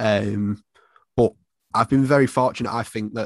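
A man talks at a fairly quick pace in a Mancunian accent. The sound is dry and close with no echo, over a quiet background. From Salford, Manchester, England. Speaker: football fan and content creator. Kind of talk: casual interview.

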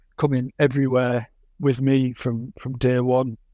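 A man's medium-pitched voice, dark and mellow in tone, at a moderate pace in a Teesside accent. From northeast England (Yarm, near Middlesbrough). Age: 30s. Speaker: motorcycle racer and test rider. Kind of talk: interview. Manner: repeats words, slightly halting.

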